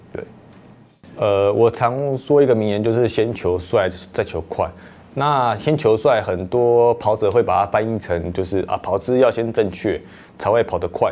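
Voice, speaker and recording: A man talks at a medium tempo, his pitch varying in an ordinary way. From Taiwan. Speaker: marathon runner. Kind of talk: interview monologue. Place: studio. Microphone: lapel.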